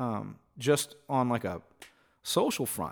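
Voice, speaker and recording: A man speaks at a fairly slow pace. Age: 40s. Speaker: musician. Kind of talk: casual chat. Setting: home recording studio.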